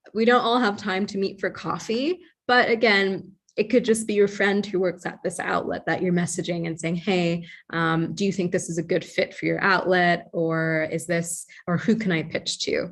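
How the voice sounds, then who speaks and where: A normal speaking voice with an American accent, ordinary pitch variation and a moderate pace over a quiet background. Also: woman, medium pitch for a woman. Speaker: journalist. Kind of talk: online training presentation.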